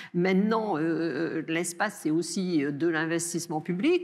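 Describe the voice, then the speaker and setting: In a Bordeaux accent, a woman talks at a moderate pace. Her pitch is fairly low, with ordinary variation. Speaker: research director and lecturer on space policy. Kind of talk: answering questions after a lecture. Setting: lecture hall with audience. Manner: hesitant, with many fillers.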